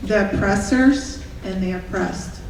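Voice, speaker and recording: A woman talks with ordinary pitch variation, her voice carrying audible room echo over noticeable background noise. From Russia. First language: Russian. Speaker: public commenter at school board meeting. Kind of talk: public comment speech. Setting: school board meeting with audience.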